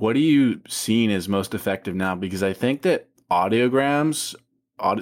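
A man talks at a moderate pace with ordinary pitch variation in a normal speaking voice. The recording is very clean, with a silent background. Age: 20s. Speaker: podcast host and author. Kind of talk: casual chat.

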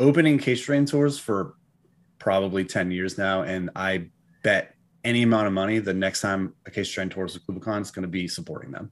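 A man with an American accent has an ordinary speaking voice and a fairly low pitch. He speaks at a fairly quick pace with lively intonation. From New England, US. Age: 40s. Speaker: metal band frontman. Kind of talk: casual chat. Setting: video call.

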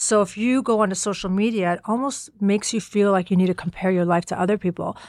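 In a very clean recording with a silent background, a woman with an American accent uses a plain, everyday voice at medium pitch with fairly even intonation. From United States (Afghan-born, left as infant). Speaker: business co-founder. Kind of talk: interview.

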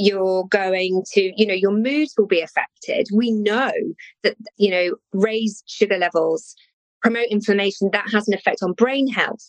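A woman speaks with an English accent. Her pitch is medium and her intonation fairly even. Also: moderate pace. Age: 50s. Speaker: nutritional therapist. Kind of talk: interview.

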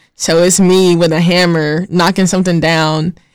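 In a very clean recording with a silent background, a woman with a normal speaking voice, fairly low pitch and an American accent talks at a moderate pace with fairly even intonation. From North Carolina (Gaston County, near Charlotte). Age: 20s. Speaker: chemistry student. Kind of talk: casual interview. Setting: studio.

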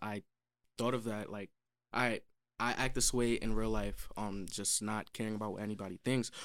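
A man with a New York accent speaks at a fairly quick pace in a fairly low, monotone voice, in a very clean recording with a silent background. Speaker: songwriter and producer. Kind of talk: casual interview.

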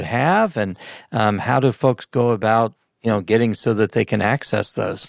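A man talks in a normal speaking voice at medium pitch and a moderate pace. His pitch variation is ordinary, and the sound is dry and close with no echo. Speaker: podcast host. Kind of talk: casual interview with dad jokes.

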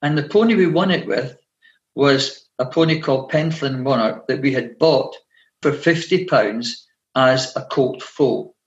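A man's fairly high, somewhat breathy voice in a Scottish accent, fairly slow, with ordinary pitch variation. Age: 60s. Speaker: retired teacher and pony breeder. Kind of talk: interview.

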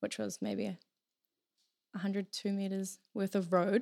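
A woman with a New Zealand accent speaks at a fairly slow pace and a medium pitch on a very clean recording with a silent background. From New Zealand, Taranaki. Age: 20s. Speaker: hairdresser. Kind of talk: casual chat.

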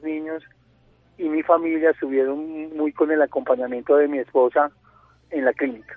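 Music plays in the background. The speech moves at a moderate pace with fairly even intonation. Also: man. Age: 40s. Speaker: leukemia patient sharing his story. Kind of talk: radio interview, personal testimony. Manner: halting, many fillers and repetitions.

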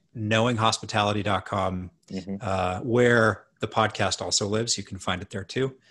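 Against a quiet background, a man with a western Canadian accent speaks at a moderate pace with hardly any pauses, in a fairly low pitch with a bright, sharp tone, ordinary pitch variation and big swings in loudness. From Canada (Edmonton, Alberta). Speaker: hotel management consultant. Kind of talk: casual chat.

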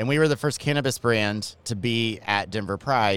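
A man with an American accent speaks at a fairly quick pace, in an unremarkable speaking voice at medium pitch with ordinary pitch variation. The recording is very clean, with a silent background. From Georgia, US South.

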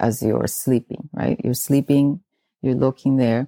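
Captured in a very clean recording with a silent background and a dry, close sound with no echo, a woman speaks in a very deep, low pitch and dark, mellow tone with ordinary pitch variation. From South America. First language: Spanish. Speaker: feng shui and Chinese astrology consultant. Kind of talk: interview.

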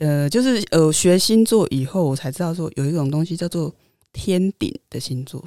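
A woman with a dark, mellow tone, fairly low pitch, lively intonation and moderate pace, in a very clean recording with a silent background and a dry, close sound with no echo. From Taiwan, central region. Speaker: guest. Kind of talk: casual chat. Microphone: new microphone.

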